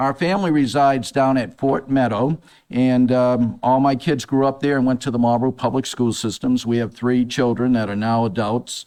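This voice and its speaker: A man with an American accent, medium in pitch, with a dark, mellow tone, very even loudness, a moderate pace and hardly any pauses. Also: ordinary pitch variation. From Massachusetts. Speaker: city council candidate. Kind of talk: debate opening statement. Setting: stage with audience.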